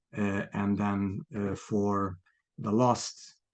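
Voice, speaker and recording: A man speaks with a Hungarian accent and a fairly low pitch. The background is quiet. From Hungary. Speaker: property developer, ex-marketing executive. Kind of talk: podcast interview. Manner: halting, many fillers.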